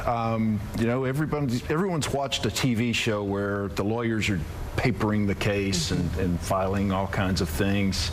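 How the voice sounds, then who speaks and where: A man speaks at a moderate pace. Noticeable background noise and audible room echo fill the recording. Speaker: divorce lawyer. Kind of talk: TV interview. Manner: calm.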